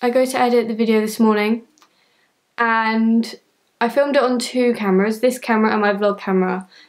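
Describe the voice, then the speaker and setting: A woman speaks in a monotone with flat intonation and very even loudness. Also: fairly quick pace, quiet background. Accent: British. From United Kingdom. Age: young. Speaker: YouTuber. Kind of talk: casual talk to camera. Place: home room. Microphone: camera far.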